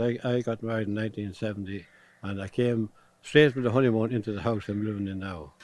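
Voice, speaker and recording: Speaking at a fairly quick pace, a man with an Irish Midlands accent uses a medium pitch. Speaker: retired fitter. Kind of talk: interview. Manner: halting.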